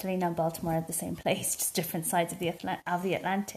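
A woman with an Irish accent speaks at a medium pitch, her voice somewhat breathy. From rural Ireland. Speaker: podcast co-host. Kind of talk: casual chat.

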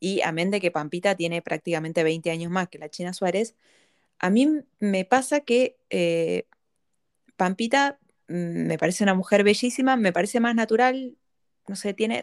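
The woman has an unremarkable speaking voice at medium pitch, speaking at a fairly slow pace with lively intonation and a dry, close sound with no echo. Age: 30s. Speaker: psychology-trained podcast host. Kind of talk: casual conversation.

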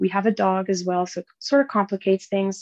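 In a Franco-Ontarian accent, a woman of medium pitch speaks at a moderate pace, the sound dry and close with no echo. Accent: Franco-Ontarian Canadian English. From northern Ontario, French-Canadian (French River area). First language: French. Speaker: enduro motorbike rider and mining designer. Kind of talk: casual interview.

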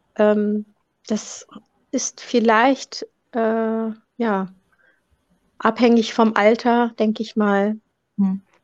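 In a dry, close sound with no echo, a woman speaks very slowly with long, frequent pauses, her fairly high voice flat and monotone. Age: 40s. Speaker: funeral director and corpse washer. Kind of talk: interview. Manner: halting, many fillers.

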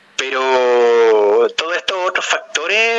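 Noticeable background noise behind a man's fairly high pitch. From Chile. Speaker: film podcast panelist. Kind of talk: casual interview. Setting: phone call.

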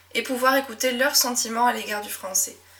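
Over noticeable background noise, a woman with a fairly high pitch talks in a relaxed tone at a moderate pace, her intonation fairly even. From southwest France (Médoc, near Bordeaux). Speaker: French teacher and podcast host. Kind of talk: solo podcast monologue. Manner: natural, relaxed.

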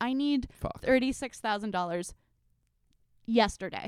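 A woman speaks with a fairly high pitch and ordinary pitch variation, in a very clean recording with a silent background and a dry, close sound with no echo. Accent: American. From US, Washington DC suburbs. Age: 30s. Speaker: author. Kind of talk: casual chat.

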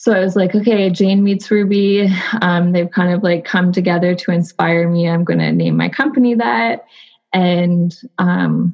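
A woman's plain, everyday voice, fairly low in pitch, with ordinary pitch variation. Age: 30s. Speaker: textile designer. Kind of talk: casual chat. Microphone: connection freezing.

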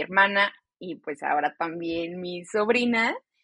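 A woman speaks very slowly at a medium pitch, with ordinary pitch variation. Her tone is bright and sharp. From Mexico, Celaya, Guanajuato; teen years in Chicago. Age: 20s. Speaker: podcast co-host, educator and meditation guide. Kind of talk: casual chat.

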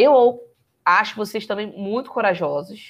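At a fairly slow pace, a woman talks in an ordinary speaking voice. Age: 20s. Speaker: photographer and entrepreneur. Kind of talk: casual chat.

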